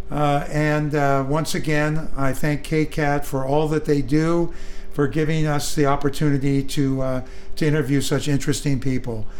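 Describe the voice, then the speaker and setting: In an American accent, the speaker delivers a flat monotone at a moderate pace with very even loudness over noticeable background noise. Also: man, fairly high pitch for a man. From Northern California, East Bay. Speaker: radio host, book reviewer. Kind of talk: interview. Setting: radio studio. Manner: halting, many fillers.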